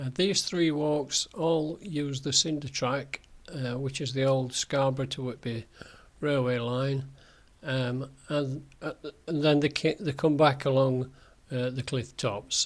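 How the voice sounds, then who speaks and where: His pitch is fairly high for a man. He speaks at a fairly slow pace with fairly even intonation. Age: 70s. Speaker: walking guide vlogger. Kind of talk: narrated slideshow tutorial. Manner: hesitant, many fillers.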